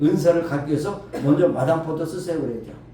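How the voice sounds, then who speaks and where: A man with a fairly high pitch speaks fairly quickly, with audible room echo and noticeable background noise. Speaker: pastor. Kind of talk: sermon.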